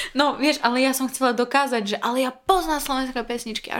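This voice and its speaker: Background noise is noticeable as a high-voiced woman talks at a fairly quick pace with ordinary pitch variation. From Belarus. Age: 20s. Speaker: former conservatory student, marketing worker. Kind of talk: casual interview.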